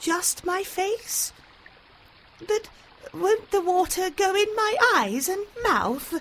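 Using a put-on character voice, a woman speaks very slowly in an extremely high, shrill pitch with long, frequent pauses. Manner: sad, nervous.

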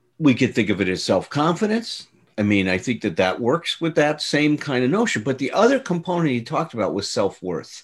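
Very wide pitch swings and vocal fry in a man's fairly high-pitched voice. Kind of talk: casual conversational podcast discussion.

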